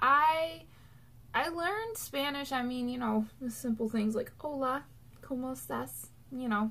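Ordinary pitch variation at a fairly slow pace. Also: woman. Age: 20s. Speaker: YouTuber; vlogger. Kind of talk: casual vlog monologue. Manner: chatty, many fillers. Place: home room. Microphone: webcam.

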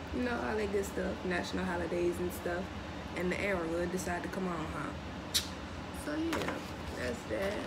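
At a moderate pace, a woman speaks over loud background noise. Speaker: unboxing vlogger. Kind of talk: casual vlog chat. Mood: excited, playful. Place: kitchen. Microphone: phone near.

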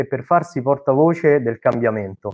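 A man talks with ordinary pitch variation and a moderate pace, and the background stays quiet. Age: 20s. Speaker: HR master's student. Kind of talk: audience question. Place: home room. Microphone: video call.

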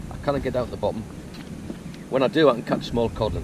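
A man talks at a fairly quick pace with fairly even intonation. Clear background noise is present.

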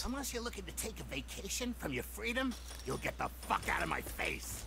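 A put-on character voice over loud background noise. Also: fairly quick pace. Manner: menacing, threatening.

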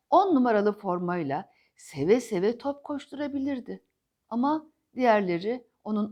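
Lively intonation in a natural voice reading aloud, over a quiet background.

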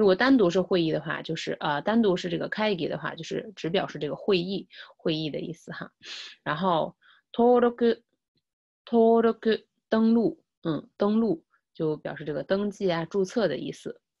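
Her loudness swings widely as a woman speaks with lively intonation at a medium pitch. The pace is moderate and the background quiet. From China. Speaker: Japanese language teacher. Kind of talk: lecture. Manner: repetitive, with many filler sounds. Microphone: webcam.

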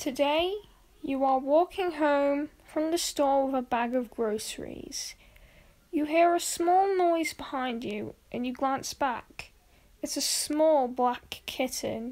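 Soft-spoken and very slow, a woman talks in a playful, gentle tone at a high pitch with ordinary pitch variation. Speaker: YouTuber reading a story. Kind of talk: scripted story reading, bedtime-style creepypasta narration. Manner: soft, gentle, storyteller pacing; second-person narration with a playful, building suspense. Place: home room.

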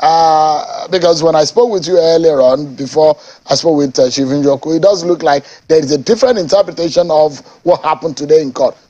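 Against a quiet background, a man with a Nigerian accent talks at a fairly quick pace. His fairly high pitch shows ordinary variation. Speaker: TV news anchor. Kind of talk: political interview show. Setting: TV studio. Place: studio. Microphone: lapel.

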